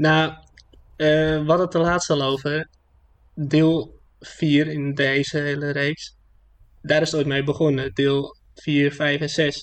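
This man's voice sits fairly high and stays flat and monotone. He speaks very slowly. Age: 20s. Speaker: podcast co-host. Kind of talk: casual chat.

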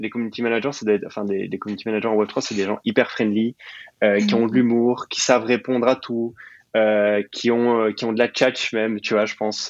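Against a quiet background, a man speaks in flat, monotone intonation. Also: medium pitch for a man, fairly quick pace. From Belgium, partly raised in Sicily. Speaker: Web3 program manager and growth expert. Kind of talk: interview. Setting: podcast recording. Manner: halting, many fillers and repetitions.

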